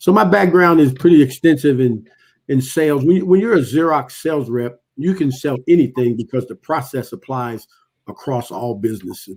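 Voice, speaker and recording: Fairly quick and with lively intonation, a man talks in an ordinary speaking voice. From Ohio, US Midwest. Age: 60s. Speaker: author and retired businessman. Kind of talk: interview.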